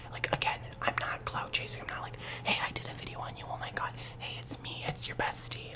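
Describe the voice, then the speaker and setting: A man whispering at a very fast pace amid noticeable background noise. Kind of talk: ASMR ramble talk to camera.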